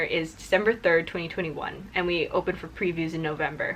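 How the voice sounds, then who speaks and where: Very fast speech against noticeable background noise. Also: woman. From Singapore. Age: 20s. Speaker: musical theatre performer. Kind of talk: casual chat.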